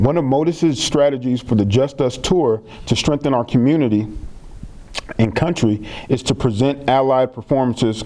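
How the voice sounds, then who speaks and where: Noticeable background noise runs beneath a voice with ordinary pitch variation. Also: man. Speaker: theater project strategist and monologuist. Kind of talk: live-streamed event hosting.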